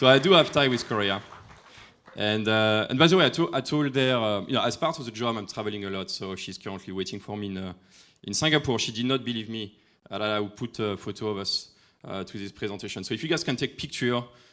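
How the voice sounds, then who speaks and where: A man with a French accent speaks very fast at a fairly low pitch, bright and sharp in tone, with ordinary pitch variation. His loudness swings widely on a very clean recording with a silent background. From France. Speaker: AI industry expert. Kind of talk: conference talk. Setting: stage with audience. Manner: halting.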